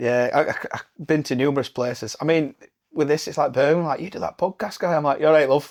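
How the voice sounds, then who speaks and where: Very fast speech in a Yorkshire accent with ordinary pitch variation. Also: man, fairly high pitch for a man. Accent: Barnsley Yorkshire. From northern England, Barnsley, Yorkshire. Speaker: podcast host. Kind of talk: casual chat.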